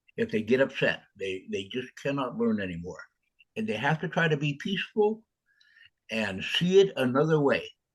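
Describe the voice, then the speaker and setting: Somewhat breathy and fairly high in pitch, a man's voice moves at a moderate pace with very wide pitch swings. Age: 70s. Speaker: author. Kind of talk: interview. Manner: halting.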